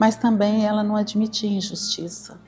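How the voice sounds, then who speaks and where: A woman's fairly high pitch at a fairly slow pace, in a plain, everyday voice. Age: 50s. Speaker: daughter of school founder giving testimony. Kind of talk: interview testimony.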